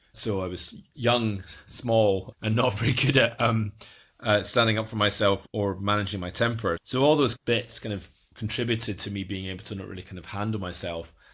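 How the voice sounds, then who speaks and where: A man's fairly low voice with fairly even intonation and big swings in loudness. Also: moderate pace. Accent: Scottish. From Scotland, Edinburgh. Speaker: guest sharing life with a genetic condition. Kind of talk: podcast interview, personal story. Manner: halting, many fillers and restarts.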